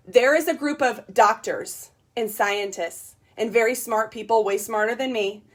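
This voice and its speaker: A woman's animated, fairly high voice with ordinary pitch variation. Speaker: network marketing distributor. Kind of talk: sales pitch. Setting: livestream. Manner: loud.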